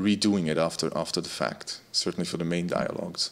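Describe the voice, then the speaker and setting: With a Dutch accent, a man speaks at a fairly quick pace in a very deep, low pitch. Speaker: music tech community host. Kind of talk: casual chat. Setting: video call.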